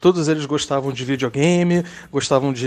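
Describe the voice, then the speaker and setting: Over music in the background, a man speaks in a fairly high pitch. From Rio de Janeiro, Brazil. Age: 30s. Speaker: listener sharing a personal story. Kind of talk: recorded personal testimony.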